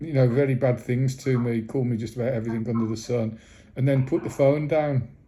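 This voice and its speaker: A man's somewhat breathy voice of medium pitch, dark and mellow in tone, with fairly even intonation at a fairly quick pace. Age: 60s. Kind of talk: phone call complaint. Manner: halting, many repetitions.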